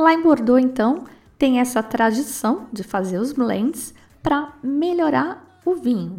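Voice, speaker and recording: A woman with a Brazilian accent speaks at a very slow pace, high-pitched and with lively intonation. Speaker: wine podcast host. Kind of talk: casual solo talk about wine.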